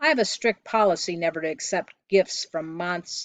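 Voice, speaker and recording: This is a put-on character voice, gruff and set at middle pitch. It moves at a moderate pace. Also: female-sounding voice. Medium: read story. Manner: gruff, muttering.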